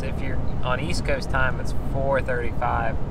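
Loud noise fills the background behind a man talking at a moderate pace. The sound is dry, with no echo. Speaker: fishing vlogger. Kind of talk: casual vlog chat. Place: car. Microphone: phone near.

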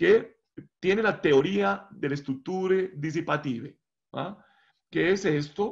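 The speech moves at a very slow pace with ordinary pitch variation. The background is quiet. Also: man, high pitch for a man. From Colombia. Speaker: professor; guest lecturer presenting his research. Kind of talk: lecture. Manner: halting. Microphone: video call.

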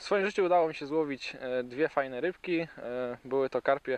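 There is a man speaking at a moderate pace. The sound is dry with no echo. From Wielkopolska, Poland. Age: 20s. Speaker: angler and shop manager. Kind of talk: short interview-style self-introduction. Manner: halting, with repeated words and fillers. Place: waterside.

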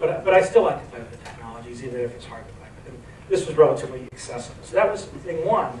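Noticeable background noise sits behind a man's voice. He talks at a very fast pace with lively intonation. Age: 40s. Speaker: venture capital investor and entrepreneur. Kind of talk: onstage interview. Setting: stage with audience.

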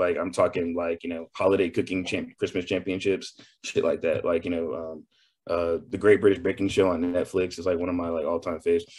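Against a quiet background, a man with an American accent speaks in a very deep, low voice. His pace is very fast and his intonation fairly even. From Texas. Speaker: chef. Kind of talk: interview.

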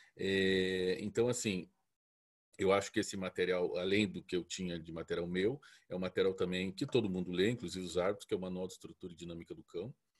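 This man has a very deep, low voice and speaks at a fairly quick pace with ordinary pitch variation. His loudness swings widely, and the background is quiet. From Curitiba, southern Brazil; Paraná, Brazil. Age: 40s. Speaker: dog breeder. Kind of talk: lecture. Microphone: earbuds.

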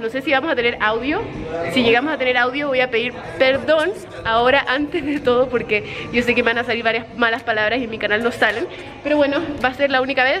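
Crowd noise fills the background as a woman talks. She speaks at a very fast pace with a high pitch. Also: ordinary pitch variation. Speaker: vlogger. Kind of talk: casual vlog chat. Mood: nervous but excited. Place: hall. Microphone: phone near.

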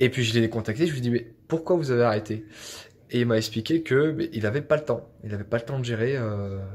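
A man's medium-pitched, somewhat breathy voice with ordinary pitch variation. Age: 20s. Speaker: IT engineer and property investor. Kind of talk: testimony. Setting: self-recorded video. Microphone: phone near.

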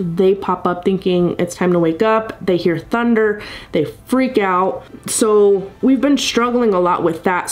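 Speaking fairly slowly, a woman lets her pitch vary in an ordinary way. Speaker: vlogger sharing a family update. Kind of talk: casual vlog chat. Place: home room. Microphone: webcam.

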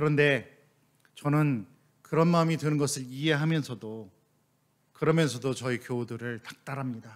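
A man at a moderate pace, fairly high in pitch with ordinary pitch variation, over a quiet background. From South Korea. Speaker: missionary pastor; missionary preacher. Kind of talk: sermon. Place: church. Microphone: podium.

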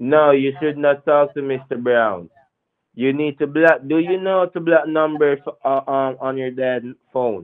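The man talks at a very slow pace. His pitch is fairly high, with ordinary variation. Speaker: phone scammer. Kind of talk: persuasive phone call. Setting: phone call.

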